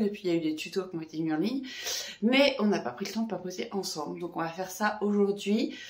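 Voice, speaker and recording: A woman talks with normal rises and falls in pitch while the room echoes audibly and background noise is clearly present. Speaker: knitting vlogger and yoga teacher. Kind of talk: casual vlog. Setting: at home after running.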